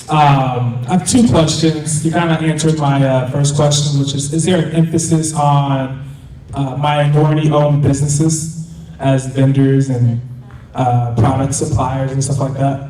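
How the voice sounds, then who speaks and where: A man speaks in a monotone, flat delivery at a fairly high pitch and moderate pace. Audible room echo and noticeable background noise fill the recording. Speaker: audience member, apparel business owner. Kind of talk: audience question. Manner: loud.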